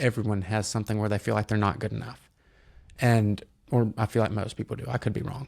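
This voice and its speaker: Delivering his words at a very fast pace, a man with a Southern US accent keeps a fairly low pitch and monotone, flat intonation. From US South, North Alabama (Decatur). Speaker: entrepreneur, car flipper. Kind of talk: podcast interview. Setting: studio.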